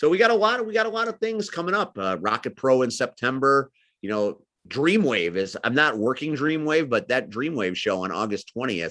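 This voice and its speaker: A man with an American accent speaks in an animated, loud way at a fairly quick pace. His fairly high pitch swings very widely, and his tone is bright and sharp. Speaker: wrestling commentator and manager. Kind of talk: interview.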